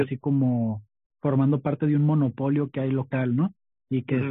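In a plain, everyday voice, a man talks at a fairly high pitch with fairly even intonation. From Tijuana, Mexico. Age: 20s. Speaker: stand-up comedian and podcaster. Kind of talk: casual interview chat.

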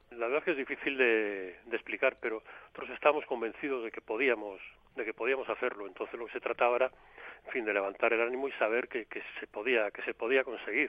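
The intonation is fairly even. Words come at a very fast pace. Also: man, medium pitch for a man. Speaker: former football coach. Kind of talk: interview.

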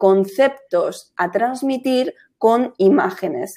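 Dark and mellow in tone, the voice moves with ordinary pitch variation. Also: woman. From Spain, Madrid. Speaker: graphic designer. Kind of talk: casual interview.

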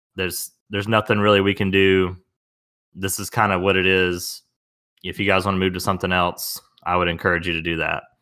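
A man with a Southern US accent, very deep and low in pitch, bright and sharp in tone, flat and monotone, at a fairly quick pace in a very clean recording with a silent background. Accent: Southern US, runs words together. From US South. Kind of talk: casual chat.

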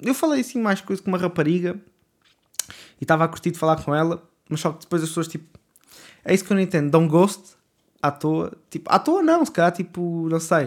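A man's high voice at a fairly quick pace, with ordinary pitch variation and long, frequent pauses. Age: 20s. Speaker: podcaster. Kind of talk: casual monologue. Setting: home bedroom. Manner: hesitant, many fillers.

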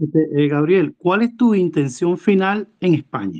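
The voice has a dark, mellow tone and moves at a fairly slow pace. The sound is dry and close, with no echo. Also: man. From Venezuela. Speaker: caller. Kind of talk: casual chat.

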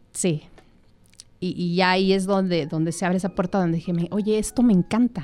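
A woman talks with a Mexican accent in a dark, mellow tone. Her pace is moderate and her intonation fairly even. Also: medium pitch for a woman. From Mexico, Michoacán. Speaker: entrepreneur. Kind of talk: casual chat. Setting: studio.

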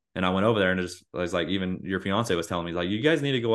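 Very deep and low in pitch, a man talks at a very fast pace. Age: 40s. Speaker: podcast host. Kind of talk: casual chat.

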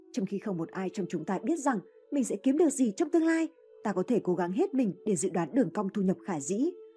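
Very wide pitch swings mark this very fast speech, which plays over music in the background. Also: woman, medium pitch for a woman. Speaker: audiobook narrator. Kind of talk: reading aloud.

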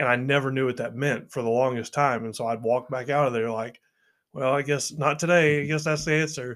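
A fairly quick American accent from a man, medium in pitch and fairly even in intonation. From Arkansas, US South. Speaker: former youth minister sharing his faith testimony. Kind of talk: casual chat and personal testimony.

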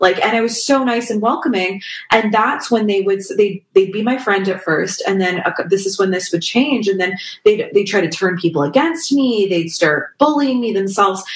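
Lively intonation from a woman at a medium pitch and moderate pace, with noticeable background noise. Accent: Canadian. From Canada, Toronto area. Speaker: singer-songwriter. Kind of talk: casual interview chat.

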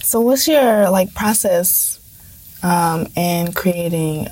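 A woman talks very slowly while noticeable background noise continues. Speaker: podcast co-host and poet. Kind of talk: casual interview.

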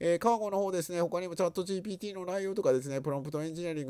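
This man has a dark, mellow tone to his voice. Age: 50s. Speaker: podcast host. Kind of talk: news digest chat. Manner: halting, many fillers.

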